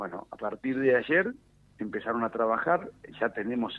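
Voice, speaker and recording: Lively intonation and a moderate pace in a plain, everyday voice. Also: man. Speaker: politician, national deputy. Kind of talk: radio interview. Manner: frequent fillers and repetitions.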